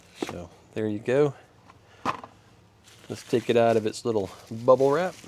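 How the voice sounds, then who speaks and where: Here a man is talking with ordinary pitch variation. Noticeable background noise can be heard. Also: medium pitch for a man, moderate pace. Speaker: DIY car tech youtuber. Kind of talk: tutorial. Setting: outdoors. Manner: casual, with filler words.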